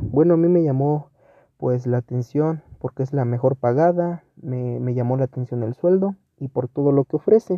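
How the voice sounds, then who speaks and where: This man's pitch moves in an ordinary way as he talks at a moderate pace. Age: 20s. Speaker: job applicant. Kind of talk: mock job interview self-presentation. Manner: hesitant, many fillers.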